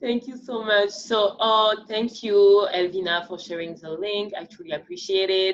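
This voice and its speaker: A woman speaks with a strong French accent at a moderate pace, hardly pausing, her loudness swinging widely while her pitch varies in an ordinary way. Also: medium pitch for a woman. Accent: thick French. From France. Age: 30s. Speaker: dancer and podcast host. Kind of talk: panel discussion.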